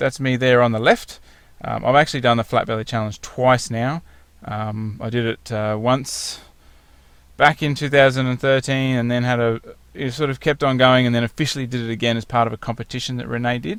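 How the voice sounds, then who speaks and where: Here a man with an Australian accent talks at medium pitch. His pace is fairly quick. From rural Victoria, southern Australia. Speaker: fitness program client and spokesperson. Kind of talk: testimonial slideshow presentation. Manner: casual, conversational with filler words.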